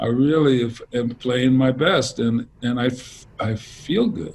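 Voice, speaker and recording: Somewhat breathy male voice, medium pitch, ordinary pitch variation. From Louisiana (New Orleans, Lake Charles), then Los Angeles. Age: 60s. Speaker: jazz saxophonist. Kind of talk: interview. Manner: relaxed, many fillers and restarts.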